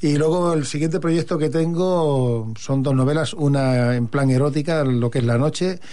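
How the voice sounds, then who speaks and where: A plain, everyday voice from a man, fairly high in pitch, with ordinary pitch variation at a moderate pace. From Catalonia, Hospitalet de Llobregat. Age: 50s. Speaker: poet. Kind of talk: radio interview.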